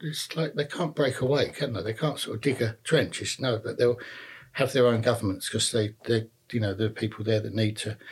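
Somewhat breathy, a man with a London accent talks at a fairly quick pace. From North London, Enfield. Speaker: retired police detective. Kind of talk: interview. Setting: at the host's home. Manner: halting, repeats words.

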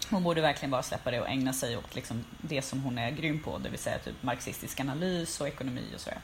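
Very fast speech over noticeable background noise. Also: woman, very deep, low pitch for a woman, ordinary pitch variation, hardly any pauses. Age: 30s. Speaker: podcast co-host, cultural journalist. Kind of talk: casual chat.

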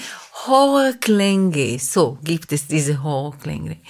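This woman has an Israeli accent. Her pace is very slow. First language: Hebrew (speaking German). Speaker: composer. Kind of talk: casual chat. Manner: halting.

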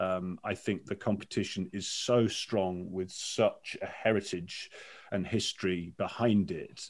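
A man talks in an ordinary speaking voice with fairly even intonation. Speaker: sports commentator and broadcaster. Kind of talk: casual interview chat.

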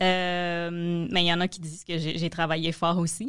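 Over a silent background in a very clean recording, a woman speaks fairly slowly at a medium pitch. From Quebec, Montreal. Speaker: comedy manager and producer. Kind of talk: casual chat.

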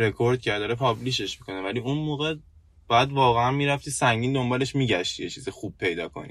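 A man talks very fast at a medium pitch with ordinary pitch variation. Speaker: podcast co-host, IT worker. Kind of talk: casual chat. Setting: in a car.

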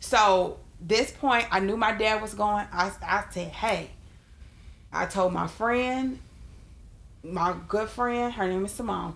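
At a very slow pace, a woman speaks with long, frequent pauses. Her pitch is medium with ordinary variation. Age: 30s. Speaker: podcast co-host. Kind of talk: casual chat.

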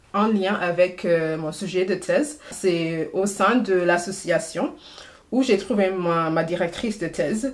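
A woman speaks in an English accent. Her pace is very slow. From Trinidad and Tobago. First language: English (speaking French). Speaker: PhD student. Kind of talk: casual interview. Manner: halting, many hesitations.

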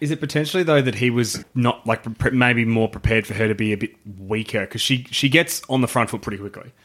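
Hardly pausing, a man with an Australian accent races along at a very fast pace with ordinary pitch variation. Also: medium pitch for a man. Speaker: podcast co-host. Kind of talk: casual banter. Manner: joking, animated.

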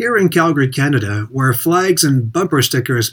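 Reading aloud in a natural voice, the intonation bright and lively

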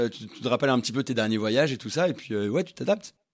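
Here a man talks in an unremarkable speaking voice. His pitch sits in the medium range and his intonation is lively. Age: 30s. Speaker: flight attendant. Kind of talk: casual chat.

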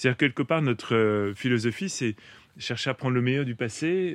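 A man with a plain, everyday voice speaks at a fairly quick pace and medium pitch with ordinary variation, the sound dry and close with no echo against a quiet background. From Paris, France. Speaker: farmer and author. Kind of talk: interview.

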